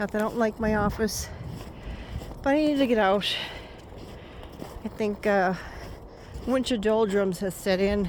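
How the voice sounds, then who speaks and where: Here a woman speaks with a fairly high pitch. Her pitch variation is ordinary. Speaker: poet. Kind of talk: casual talk to camera. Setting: outdoors.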